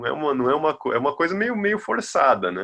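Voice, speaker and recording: This man's voice has a bright, sharp tone with vocal fry. The background is quiet. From Bahia, Brazil. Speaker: music researcher. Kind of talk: casual interview.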